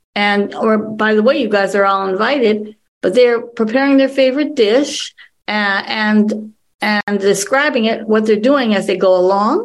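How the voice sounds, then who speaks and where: At a very slow pace, a woman with an American accent speaks at a fairly high pitch with ordinary pitch variation. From Wisconsin (Green Bay). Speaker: TV show creator and producer. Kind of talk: presentation Q&A on cooking.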